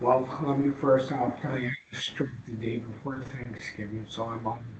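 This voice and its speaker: A man speaks in a flat, monotone way over noticeable background noise. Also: medium pitch for a man. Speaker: property owner appealing to health board. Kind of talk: public hearing testimony. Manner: slow; hesitant, many fillers.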